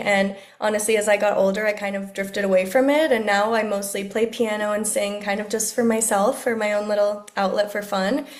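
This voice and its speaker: A woman with a South Florida accent speaks at a fairly quick pace. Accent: South Florida American English. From Miami, Florida. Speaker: speech-language pathologist. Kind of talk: podcast interview answer.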